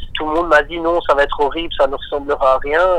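A man talks at a fairly quick pace. Noticeable background noise runs under the voice. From Belgium, Marchienne near Charleroi. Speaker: electronic music artist. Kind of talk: radio interview.

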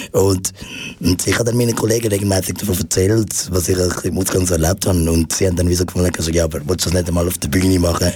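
A man talks at a very fast pace with a very deep, low pitch and fairly even intonation. Noticeable background noise runs behind him. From Switzerland, Zurich. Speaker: stand-up comedian. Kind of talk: radio interview. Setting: studio. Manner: halting.

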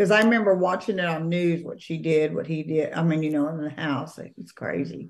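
In a normal speaking voice, a woman talks at a fairly low pitch with ordinary pitch variation and big swings in loudness. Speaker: podcast co-host. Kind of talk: casual chat. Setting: video call.

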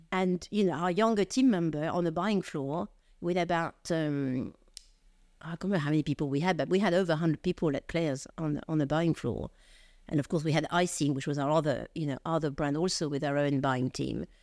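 A woman with a French accent, very deep and low in pitch, at a fairly quick pace with ordinary pitch variation, in a very clean recording with a silent background. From France. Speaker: retail executive. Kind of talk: interview.

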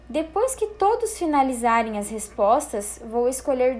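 A woman talks at a fairly slow pace with very wide pitch swings. There is audible room echo. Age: 20s. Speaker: presenter of a professional skills talk. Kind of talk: lecture with slides. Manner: formal.

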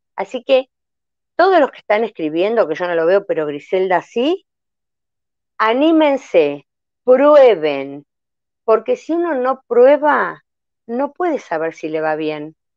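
A woman's fairly high voice at a very slow pace, with very wide pitch swings, long, frequent pauses and a dry, close sound with no echo. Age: 60s. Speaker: health testimony guest. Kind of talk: personal testimony in a live interview.

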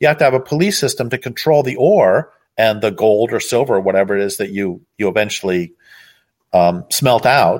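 The speaker has a plain, everyday voice. Intonation is lively and the pace fairly quick. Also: man, medium pitch for a man. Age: 60s. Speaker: author and activist. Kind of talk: interview.

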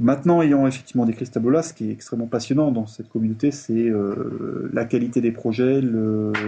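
At a fairly quick pace, a man speaks with a dark, mellow tone, medium pitch and fairly even intonation. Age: 40s. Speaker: software developer. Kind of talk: interview.

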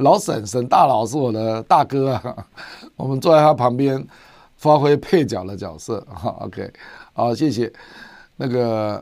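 In a very clean recording with a silent background, a man of medium pitch speaks at a fairly slow pace, with lively intonation, big swings in loudness and long, frequent pauses. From Taiwan. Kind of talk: livestream commentary on international politics. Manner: frequent filler particles (啊, 哈).

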